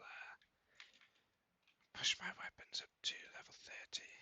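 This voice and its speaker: The speech comes in a whisper, delivered at a moderate pace. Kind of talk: ASMR gaming commentary. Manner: whispered.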